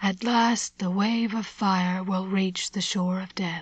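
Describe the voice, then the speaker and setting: A woman's whispered, put-on character voice at a fairly slow pace. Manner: mystical whisper.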